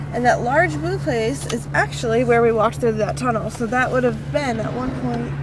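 The speech moves at a moderate pace over loud background noise. The sound is dry, with no echo. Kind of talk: casual vlog commentary. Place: car.

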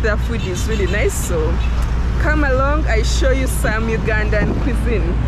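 Loud background noise runs behind a dry recording with no echo. A woman speaks at a moderate pace. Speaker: travel vlogger. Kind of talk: casual vlog chat. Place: street. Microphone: phone near.

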